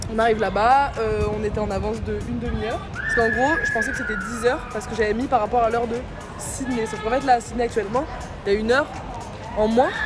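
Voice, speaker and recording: With music in the background and audible room echo, a woman speaks at a very fast pace. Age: 20s. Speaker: travel vlogger. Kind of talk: casual vlog storytelling. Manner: animated, fast.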